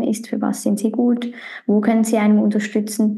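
Noticeable background noise sits behind a woman with a fairly high pitch. She talks at a moderate pace in a monotone, flat way. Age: 30s. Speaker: podcast host. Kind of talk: casual chat.

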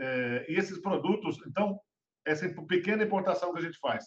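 This man has a high pitch and lively intonation and talks at a fairly quick pace. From Brazil, Minas Gerais. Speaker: food industry association head. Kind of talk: interview. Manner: halting.

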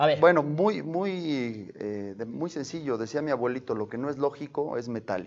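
A man with an ordinary speaking voice, fairly high in pitch, at a moderate pace with lively intonation and hardly any pauses. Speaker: congressional candidate. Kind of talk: interview.

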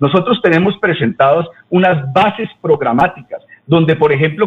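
A man with a normal speaking voice talks at a moderate pace, his fairly high pitch showing ordinary pitch variation. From Colombia, Santander (Bucaramanga). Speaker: political candidate. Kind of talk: radio interview.

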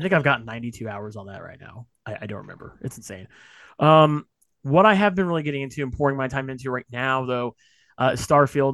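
Here a man speaks in a plain, everyday voice at medium pitch. His pace is fairly quick, his intonation lively, and the background quiet. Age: 30s. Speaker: gaming podcast host. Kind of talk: casual chat.

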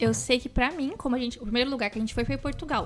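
Her pitch high and ordinary in its variation, a woman talks at a very fast pace. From interior of São Paulo state, Brazil. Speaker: podcast co-host. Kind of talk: casual chat.

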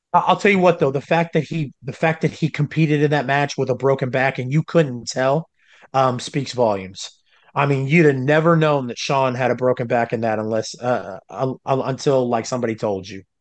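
A plain, everyday voice moves at a fairly quick pace with ordinary pitch variation against a quiet background. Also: man, medium pitch for a man. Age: 30s. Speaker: wrestling commentator. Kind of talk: casual chat.

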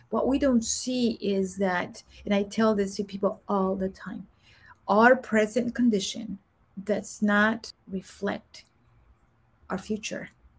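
A woman speaks at a very slow pace, her voice fairly high and somewhat breathy. Her intonation is monotone and flat, with long, frequent pauses. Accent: Spanish. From Guatemala. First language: Spanish. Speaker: executive coach and former Air Force senior enlisted leader. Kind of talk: interview testimony.

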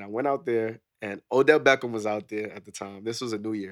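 With a New York accent, a man talks very fast at a medium pitch with ordinary pitch variation. The recording is very clean, with a silent background. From New York (Queens). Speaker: military veteran. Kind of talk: casual chat.

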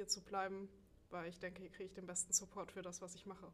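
At a very fast pace, a woman speaks at medium pitch with monotone, flat intonation. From Saxony, Dresden. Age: 20s. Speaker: powerlifter and student. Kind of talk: casual interview.

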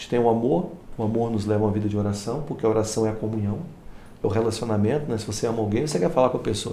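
A man at a very fast pace, with big swings in loudness, ordinary pitch variation, and audible room echo. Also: medium pitch for a man. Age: 40s. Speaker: pastor. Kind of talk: casual chat.

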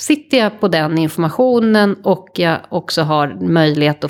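A woman talks in a plain, everyday voice. Her pitch is fairly low, with ordinary variation. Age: 40s. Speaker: futures consultant. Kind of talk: interview conversation. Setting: home kitchen studio.

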